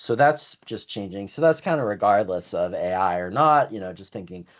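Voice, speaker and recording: Against a quiet background, a man with an American accent talks at a fairly quick pace, his fairly low voice excited in tone and lively in intonation. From Ohio, US Midwest. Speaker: Excel instructor. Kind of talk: live online training webinar. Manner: fast, excited.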